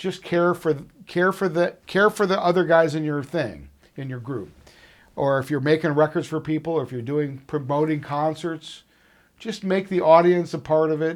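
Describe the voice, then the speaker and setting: The recording is very clean with a silent background. An ordinary speaking voice with an American accent moves at a moderate pace with ordinary pitch variation. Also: man, fairly high pitch for a man. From Chicago suburbs, Illinois. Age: 60s. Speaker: musician and recording engineer. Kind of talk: oral history interview. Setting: recording studio.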